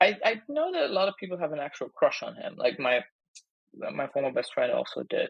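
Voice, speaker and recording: The speaker talks at a fairly quick pace with a German accent. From Germany. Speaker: comedian. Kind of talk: casual chat.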